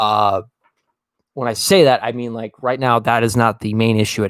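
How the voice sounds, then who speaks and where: Here a man speaks at a fairly quick pace. His intonation is monotone and flat. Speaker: livestreamer commenting on debate. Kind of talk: casual live commentary. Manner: casual, profane; stutters.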